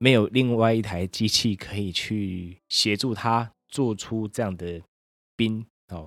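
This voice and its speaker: A man with fairly low pitch speaks at a very slow pace with fairly even intonation. The recording is very clean, with a silent background. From Taiwan, Pingtung. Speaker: podcast host. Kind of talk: casual solo podcast monologue.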